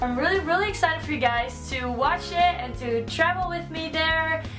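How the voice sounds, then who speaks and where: A woman's fairly quick speech over clear background music. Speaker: vlogger. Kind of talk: casual vlog chat. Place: home room. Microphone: camera far.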